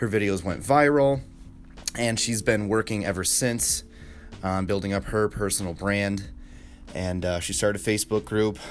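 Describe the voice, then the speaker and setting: A man's fairly low voice at a moderate pace, with long, frequent pauses and music in the background. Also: ordinary pitch variation. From upstate New York (Rochester). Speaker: podcaster, marketer. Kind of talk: unscripted solo monologue. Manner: casual, filler-heavy.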